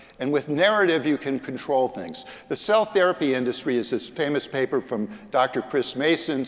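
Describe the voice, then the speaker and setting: A man's fairly high voice with lively intonation at a moderate pace, over noticeable background noise. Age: 70s. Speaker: lawyer and health policy advocate. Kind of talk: conference talk. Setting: stage with audience. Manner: animated.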